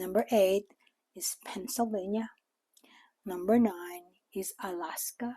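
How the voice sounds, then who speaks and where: Speaking at a very slow pace with a Filipino accent, a woman uses a dark, mellow tone and ordinary pitch variation. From Philippines. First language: Tagalog. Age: 60s. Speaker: retiree vlogger. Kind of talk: casual vlog talk. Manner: hesitant with fillers.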